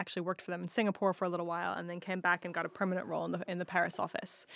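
A woman with a medium pitch speaks in a very clean recording with a silent background. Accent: American. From United States. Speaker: media business executive. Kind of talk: interview. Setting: studio.

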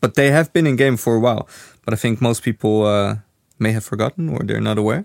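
A man with a Dutch accent talks at a very fast pace and a medium pitch. The sound is dry and close, with no echo. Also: ordinary pitch variation, very clean recording, silent background. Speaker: game studio community manager, podcast host. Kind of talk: casual chat.

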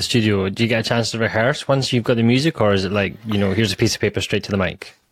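A man with a Scottish accent speaks at a very fast pace. The recording is very clean and the background silent. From Scotland. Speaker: podcast host. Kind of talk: casual interview chat.

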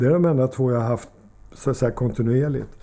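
A man's voice with a dark, mellow tone. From Sweden, Solna (Stockholm area). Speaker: former ice hockey player, coach and commentator. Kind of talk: casual interview. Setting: at his home. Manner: halting, many repetitions.

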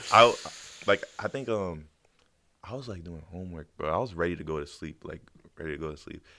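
A man speaks at a fairly quick pace with a very deep, low pitch. His speech has long, frequent pauses. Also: lively intonation. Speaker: beat producer. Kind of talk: casual chat.

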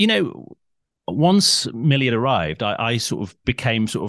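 Against a quiet background, a man of medium pitch speaks with vocal fry and very wide pitch swings, the sound dry and close with no echo. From Cheshire, north-west England. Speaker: father of a child with Down syndrome. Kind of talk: interview conversation. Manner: halting, with many repetitions.

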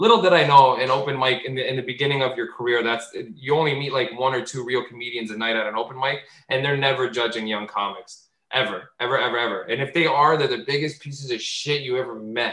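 A man speaks at a very fast pace with a bright, sharp tone, medium pitch and ordinary pitch variation. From Portuguese-Azorean community. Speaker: comedian. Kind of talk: casual chat. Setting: video call.

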